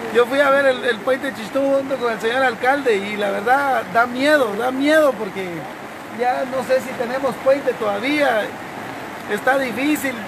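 Over noticeable background noise, a man talks at a fairly slow pace with an extremely high pitch and fairly even intonation. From Guatemala, Cobán. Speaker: local man appealing for flood aid. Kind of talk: emergency appeal. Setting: outdoors. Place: street.

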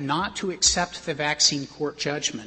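A male voice with ordinary pitch variation. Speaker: lawyer arguing before the court. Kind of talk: oral argument. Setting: courtroom. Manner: formal. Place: hall.

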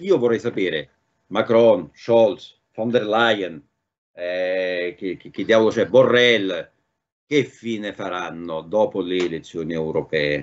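Lively intonation from a man with a fairly low pitch, at a very slow pace. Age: 60s. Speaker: political commentator; remote guest. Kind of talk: talk show discussion. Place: home room. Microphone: video call.

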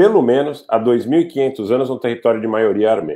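A man's dark, mellow voice at a medium pitch, fairly slow, with very wide pitch swings over a quiet background. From Brazil, São Paulo. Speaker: commentator on Armenia. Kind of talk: interview. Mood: earnest, explanatory. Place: home room. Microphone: earbuds.

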